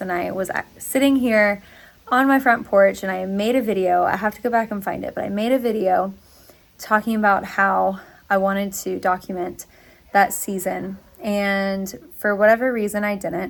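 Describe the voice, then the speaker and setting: Her voice is a plain, everyday voice at a medium pitch. This woman keeps a moderate pace and fairly even intonation. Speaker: crafting vlogger. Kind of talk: casual vlog talk.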